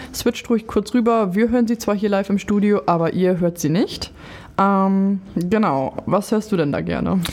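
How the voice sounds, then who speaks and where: The clip has an ordinary speaking voice. Its pace is moderate, and its pitch varies in an ordinary way. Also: woman. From Lower Saxony. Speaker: podcast host and nurse. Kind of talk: casual interview. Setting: studio.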